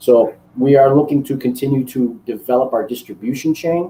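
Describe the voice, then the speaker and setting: A man with a Chicago accent speaks in a dark, mellow tone. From US Midwest, Chicago. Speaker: cigar maker and master blender. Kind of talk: interview. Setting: live online broadcast.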